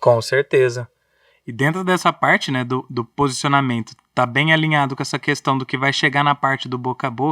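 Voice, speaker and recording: On a very clean recording with a silent background and a dry, close sound with no echo, a man with fairly high pitch and a bright, sharp tone speaks at a moderate pace with fairly even intonation. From interior of São Paulo state, Brazil (Orlândia). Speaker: podcast host, engineer. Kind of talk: casual chat.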